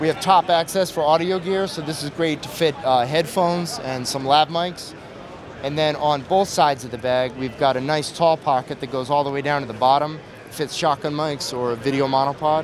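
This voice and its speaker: Over noticeable background noise, a man speaks at a moderate pace with ordinary pitch variation in a dry sound with no echo. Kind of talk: product demo interview answer. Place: hall. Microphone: handheld.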